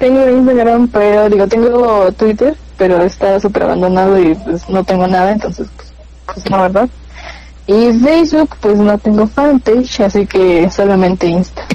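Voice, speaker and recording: Over noticeable background noise, a woman at medium pitch speaks at a moderate pace with ordinary pitch variation. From Mexico, Pachuca, Hidalgo. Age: 20s. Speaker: communication student and radio announcer. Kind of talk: casual interview chat.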